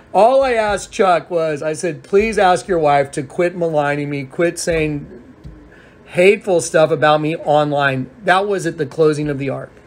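Ordinary pitch variation marks a man's speech, which moves at a moderate pace. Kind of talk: casual phone conversation, storytelling.

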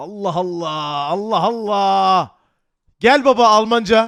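The man talks at a high pitch. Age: 20s. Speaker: streamer. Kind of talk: casual chat. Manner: animated; laughing.

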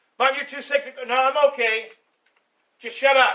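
A man's extremely high, bright, sharp voice, raised and projected, at a moderate pace. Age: 60s. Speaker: pastor. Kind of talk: sermon. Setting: church. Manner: animated. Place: church.

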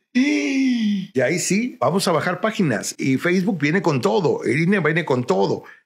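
Hardly any pauses break a man's high-pitched speech. He keeps a moderate pace with very wide pitch swings. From Mexico, Cuernavaca, Morelos. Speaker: radio announcer and journalist. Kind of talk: casual interview.

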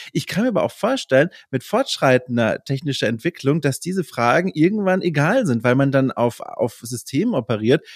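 With a normal speaking voice, a man talks at a fairly quick pace and with lively intonation, the sound dry and close with no echo in a very clean recording against a silent background. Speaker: podcast host and journalist. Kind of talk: casual interview chat.

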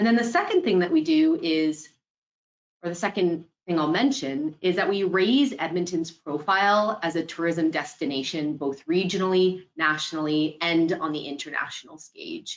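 This woman has a normal speaking voice, fairly low in pitch, with ordinary pitch variation at a moderate pace. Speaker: sustainability director; panelist. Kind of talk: panel discussion. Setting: video call. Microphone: webcam.

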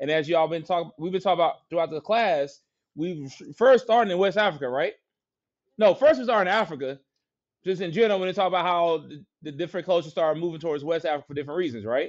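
A man with an American accent talks very fast in an animated, high-pitched voice with ordinary pitch variation, and the background is quiet. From South Central Los Angeles, California; California. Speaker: high school history teacher. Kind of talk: classroom lecture. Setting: classroom. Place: classroom.

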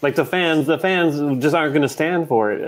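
With ordinary pitch variation, this man speaks at a moderate pace. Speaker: comics creator playing a role-playing game. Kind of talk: tabletop role-play. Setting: video call. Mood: comic, ironic. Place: home room.

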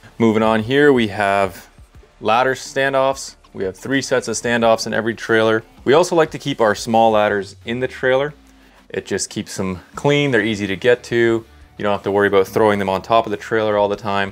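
Faint music sits behind a man who speaks fairly quickly with ordinary pitch variation. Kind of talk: walkthrough tour explanation. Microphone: lapel.

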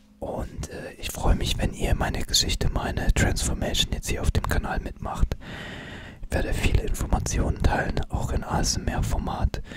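Whispering, a man speaks at a moderate pace. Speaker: ASMR creator. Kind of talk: ASMR whisper talk to camera. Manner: casual, chatty, relaxed. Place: home room. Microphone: studio mic.

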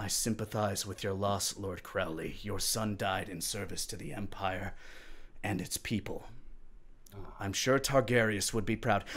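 On a very clean recording with a silent background, a man does a put-on character voice, fairly low-pitched, at a moderate pace. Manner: earnest, respectful, eager.

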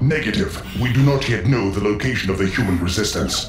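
Loud background noise surrounds a man doing a cartoonish character voice. He talks at a fairly quick pace with medium pitch. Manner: flat, literal, mechanical.

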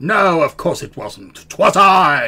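A man puts on a character voice. It is raspy and high-pitched. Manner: eerie, archaic.

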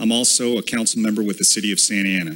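This man has a plain, everyday voice, fairly low in pitch, with ordinary pitch variation and a fairly quick pace. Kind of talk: formal public statement. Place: hall. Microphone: podium.

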